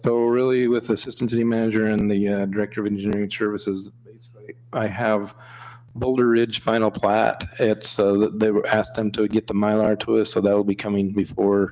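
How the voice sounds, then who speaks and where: Fairly low-pitched male voice, fairly quick pace, monotone and flat intonation. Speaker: assistant city manager. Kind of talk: council meeting report. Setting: council chamber meeting, streamed online.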